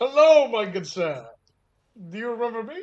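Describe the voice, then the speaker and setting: A man puts on a character voice pitched extremely high. He speaks at a moderate pace. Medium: actual play. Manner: casual, chatty.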